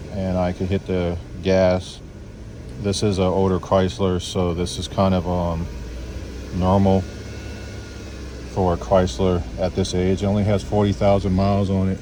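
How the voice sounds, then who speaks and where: Quiet and very deep, a man's low voice comes through noticeable background noise at a moderate pace, with fairly even intonation and long, frequent pauses. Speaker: mobile mechanic. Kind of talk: tutorial. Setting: outdoors at a customer's house, beside a car. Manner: quiet, low-voiced.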